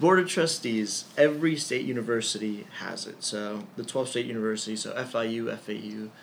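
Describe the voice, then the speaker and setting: The voice has an American accent, a moderate pace and ordinary pitch variation, with audible room echo. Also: man. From Ecuador, raised in the US from childhood. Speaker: student government president. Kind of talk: interview. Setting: in person.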